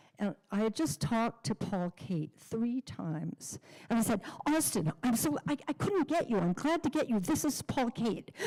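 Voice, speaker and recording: A woman with a dark, mellow tone and a fairly high pitch speaks at a moderate pace, somewhat breathy. Her pitch swings very widely while her loudness stays very even, and the sound is dry and close with no echo. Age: 80s+. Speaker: memorial service speaker. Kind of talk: eulogy remarks.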